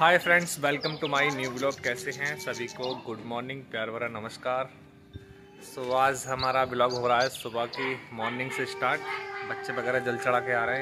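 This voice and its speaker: There is clear music in the background. A man is speaking over it. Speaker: vlogger. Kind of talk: casual vlog chat. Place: street. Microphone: phone near.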